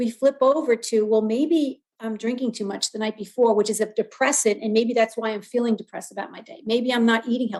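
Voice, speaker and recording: A woman talks in a normal speaking voice with fairly even intonation and hardly any pauses. Her loudness swings a lot. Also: fairly high pitch for a woman, fairly quick pace. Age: 60s. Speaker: wellness guest speaker. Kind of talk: podcast interview.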